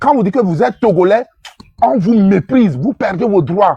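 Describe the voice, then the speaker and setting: High-pitched male speech with very wide pitch swings and a dry, close sound free of echo. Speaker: participant in political online discussion. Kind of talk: impassioned speech in group discussion. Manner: emotional, repetitive with stammering.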